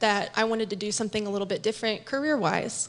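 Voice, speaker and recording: A woman's fairly high voice comes through over a quiet background. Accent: Midwestern American. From Kansas City (Northland area). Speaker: nurse and pastor's wife. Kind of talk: testimony.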